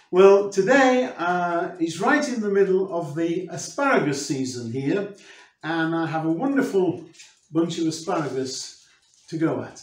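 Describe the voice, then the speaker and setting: Audible room echo surrounds a man speaking at a high pitch and a fairly slow pace. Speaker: presenter. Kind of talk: cooking tutorial intro. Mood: warm and friendly. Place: kitchen.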